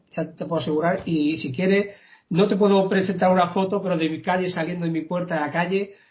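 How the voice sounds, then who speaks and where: A man with a high voice speaks at a very fast pace. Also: fairly even intonation. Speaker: local political candidate. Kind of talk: interview. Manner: hesitant, repeats words.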